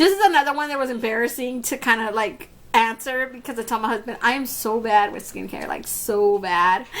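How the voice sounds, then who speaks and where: Noticeable background noise fills the recording. Over it, a woman speaks fairly quickly. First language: Spanish. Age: 30s. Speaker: beauty YouTuber. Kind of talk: casual Q&A vlog. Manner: animated.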